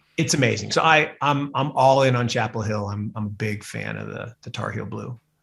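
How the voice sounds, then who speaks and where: A man with an American accent at medium pitch, with vocal fry, ordinary pitch variation, a fairly quick pace with hardly any pauses, and big swings in loudness. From Seattle, US Pacific Northwest. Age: middle-aged. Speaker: investment fund manager. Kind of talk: podcast interview. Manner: animated.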